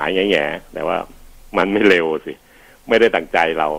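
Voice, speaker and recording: His intonation is fairly even. The man's voice sits at a very deep, low pitch. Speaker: physician radio host. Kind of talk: health advice radio show.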